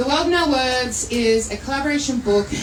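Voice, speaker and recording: Loud and high-pitched, a woman with an Australian accent speaks at a moderate pace with ordinary pitch variation. Audible room echo and noticeable background noise are present. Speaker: poetry anthology editor and publisher. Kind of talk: speech at a live book launch event. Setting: venue with live audience. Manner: animated.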